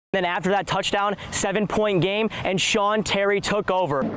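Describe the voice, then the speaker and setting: A moderate pace with fairly even intonation, very even loudness and noticeable background noise. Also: man, high pitch for a man. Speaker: sports reporter. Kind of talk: sports broadcast reporting, play-by-play and anchor delivery.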